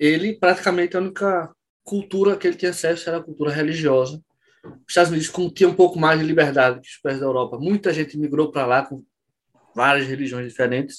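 A man talks very fast in a fairly high pitch, with ordinary pitch variation and big swings in loudness. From Pernambuco, Brazil (Olinda). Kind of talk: casual interview.

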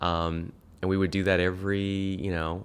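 A man with an American accent, a very deep, low pitch, a monotone, flat delivery and a moderate pace. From Orange County, California and São Paulo, Brazil. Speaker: author and online course creator. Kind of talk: interview conversation. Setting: in-person studio.

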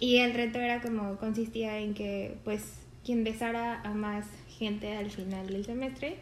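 Delivered at a fairly slow pace in a monotone, flat intonation, the speech carries audible room echo. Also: woman. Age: 20s. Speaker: podcast co-host. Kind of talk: casual chat.

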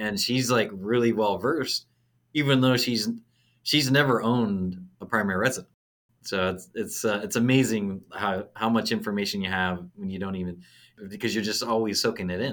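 Recorded very cleanly against a silent background, a man with an American accent uses an ordinary speaking voice at medium pitch, moderate pace and ordinary pitch variation. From US Pacific Northwest, Auburn near Seattle. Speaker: real estate agent and investor. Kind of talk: casual interview chat.

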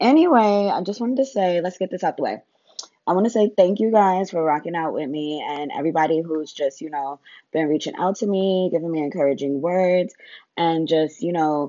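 An American-accented woman talks at a moderate pace in an energetic tone, her fairly low pitch showing ordinary variation. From New York. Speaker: podcast host. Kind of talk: casual slang, profanity. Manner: energetic, casual.

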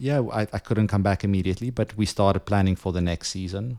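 A man's dark, mellow tone with a South African accent and fairly even intonation, on a very clean recording with a silent background. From South Africa, Johannesburg. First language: Afrikaans. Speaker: photographer. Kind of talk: casual chat.

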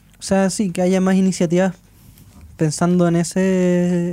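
Here a man talks in a Chilean accent with a dark, mellow tone. His pace is very slow. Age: 20s. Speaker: journalist and musician. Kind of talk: casual chat.

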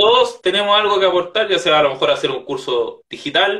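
A man talks at a moderate pace. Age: 20s. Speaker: author. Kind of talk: interview.

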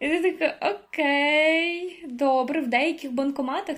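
The woman's voice sits at a high pitch. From Ukraine (Koziatyn, Vinnytsia region). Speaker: university student. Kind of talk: casual chat.

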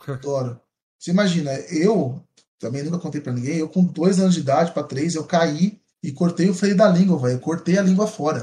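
A man's high voice has a dark, mellow tone and ordinary pitch variation. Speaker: YouTuber. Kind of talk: casual chat. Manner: fast.

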